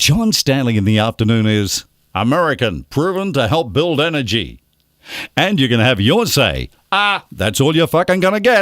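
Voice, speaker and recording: Vocal fry runs through this man's speech at a moderate pace. His pitch swings very widely. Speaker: radio voice-over artist. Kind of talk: radio promo read with joking ad-libs. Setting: studio. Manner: cheeky, playful.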